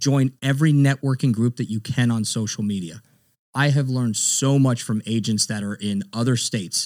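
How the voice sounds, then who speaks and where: A man with an American accent and a normal speaking voice, medium pitch, ordinary pitch variation, and moderate pace, on a very clean recording with a silent background. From South Florida (Broward County). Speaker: realtor and Marine veteran. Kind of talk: interview. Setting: podcast studio. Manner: casual.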